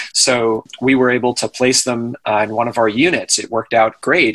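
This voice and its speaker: Here is a man in an unremarkable speaking voice at medium pitch. His intonation is fairly even, with an American accent. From Maine, US. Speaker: real estate investor and broker. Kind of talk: interview.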